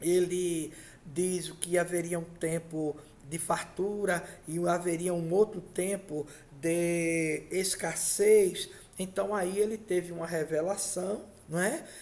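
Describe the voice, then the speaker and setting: A man with a high pitch speaks at a very slow pace with monotone, flat intonation. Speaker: pastor. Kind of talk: sermon.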